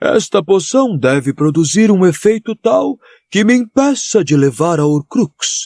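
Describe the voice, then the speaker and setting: The put-on character voice unfolds at a fairly slow pace. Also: man. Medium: read story.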